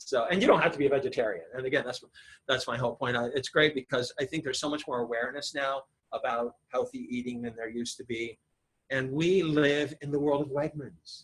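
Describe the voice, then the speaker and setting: A man's fairly high voice sounds somewhat breathy. He moves at a fairly quick pace with fairly even intonation. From Ohio. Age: 60s. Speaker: acupuncturist. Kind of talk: public talk. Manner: fast.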